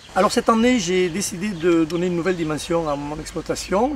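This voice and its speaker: The speech comes at a fairly quick pace with ordinary pitch variation. Noticeable background noise is present. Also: man. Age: 60s. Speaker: organic rabbit farmer. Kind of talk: crowdfunding appeal. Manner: halting.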